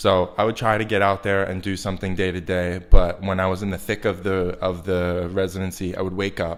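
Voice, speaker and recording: A man with an American accent speaks at a fairly quick pace with hardly any pauses. His very deep, low pitch stays monotone and flat. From US Northeast, Long Island, New York. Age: 20s. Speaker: artist. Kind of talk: interview. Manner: casual, many fillers and restarts.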